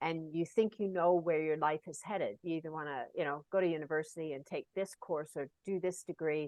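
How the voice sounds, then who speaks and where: With a normal speaking voice, a woman speaks at a fairly quick pace, fairly low in pitch and with fairly even intonation. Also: hardly any pauses. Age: 60s. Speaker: Paralympic cyclist. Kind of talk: interview conversation.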